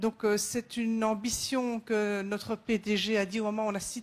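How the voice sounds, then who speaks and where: A woman's fairly high-pitched voice in a Belgian accent. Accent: Belgian French, slightly sing-song. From Belgium. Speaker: safety manager at a company. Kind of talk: conference presentation. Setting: round table at a conference. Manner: hesitant, many fillers.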